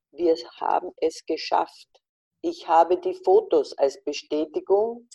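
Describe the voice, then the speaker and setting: Very slow female speech, dry and close with no echo. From Austria, Carinthia (Wolfsberg). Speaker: fashion journalist. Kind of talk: interview. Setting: video call.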